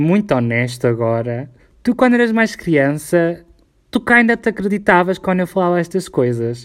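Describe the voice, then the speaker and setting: Speaking with a European Portuguese accent, a man keeps a moderate pace. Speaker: podcast co-host. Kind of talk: casual chat.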